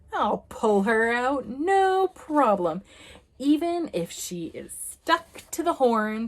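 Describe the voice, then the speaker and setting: A woman puts on a gruff character voice, high-pitched with very wide pitch swings, at a very slow pace. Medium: read story. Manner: gruff, grunting.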